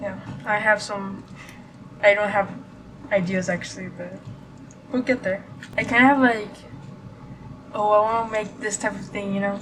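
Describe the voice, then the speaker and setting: A woman at a medium pitch speaks at a moderate pace with fairly even intonation and big swings in loudness, over noticeable background noise. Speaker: vlogger. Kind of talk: casual vlog chat. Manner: halting, many fillers and stutters.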